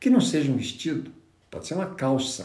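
In a room with audible echo, a man speaks with vocal fry. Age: 60s. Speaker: negotiation trainer and consultant. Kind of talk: live stream talk. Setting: Instagram live stream.

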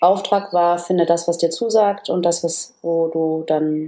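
Dark, mellow tone from a woman pitched fairly low. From northern Germany, Oldenburg area. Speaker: business coach and communication trainer. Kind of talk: casual interview.

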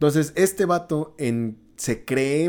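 A man with a fairly high pitch and a dark, mellow tone speaks with lively intonation. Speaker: podcast host. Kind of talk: casual chat.

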